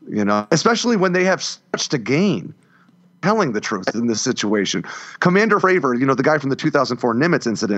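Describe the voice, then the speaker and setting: This man's voice shows vocal fry and very wide pitch swings. He talks at a moderate pace. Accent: American. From US, grew up in a trailer park. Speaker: former Marine and defense writer. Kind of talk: casual chat.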